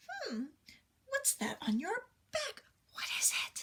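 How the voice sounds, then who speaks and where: Putting on a character voice, a woman speaks at a fairly slow pace. Her tone is squeaky and extremely high in pitch. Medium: read story. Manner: motherly, gentle.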